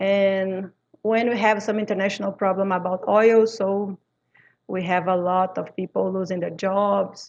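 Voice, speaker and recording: A woman speaks at a fairly slow pace in a medium pitch. Her intonation is monotone and flat, and the background is quiet. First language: French. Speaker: English and Spanish teacher. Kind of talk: interview. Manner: halting, with frequent fillers.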